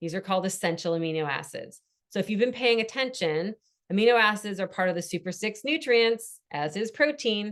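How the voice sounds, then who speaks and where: Lively intonation marks a woman's medium-pitched voice. She moves at a fairly quick pace over a quiet background. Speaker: wellness coach. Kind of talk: online workshop presentation. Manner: fast.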